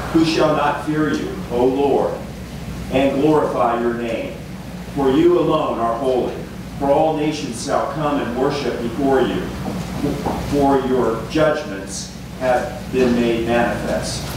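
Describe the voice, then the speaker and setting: Over noticeable background noise and strong room echo, a man speaks at a very slow pace with fairly even intonation and long, frequent pauses. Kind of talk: scripture reading aloud. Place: church.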